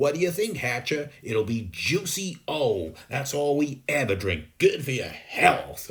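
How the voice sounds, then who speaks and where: Using a booming, put-on character voice, a man speaks at a fairly high pitch with very wide pitch swings, a fairly slow pace and hardly any pauses. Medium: read story. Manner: pompous.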